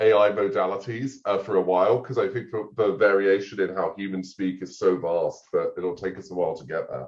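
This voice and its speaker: A man with an American accent at a moderate pace. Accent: half English, half American. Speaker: AI policy researcher. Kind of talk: podcast interview.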